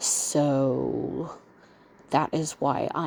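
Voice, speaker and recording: A woman speaks quietly with an American accent. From US South, Mississippi. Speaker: vlogger, bedbound stroke and kidney patient. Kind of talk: casual monologue vlog. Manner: speaking low, quiet.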